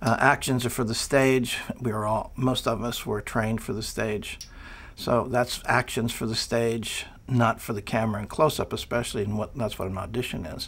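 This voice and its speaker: This man's intonation is monotone and flat. He keeps a moderate pace. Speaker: acting coach. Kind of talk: interview answer. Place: studio. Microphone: lapel.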